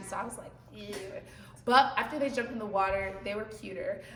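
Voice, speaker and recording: A woman talks in an animated tone at a moderate pace. Audible room echo and noticeable background noise surround her voice. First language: not English. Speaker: choir member. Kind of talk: casual chat.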